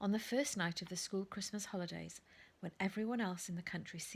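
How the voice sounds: Ordinary pitch movement in a natural reading voice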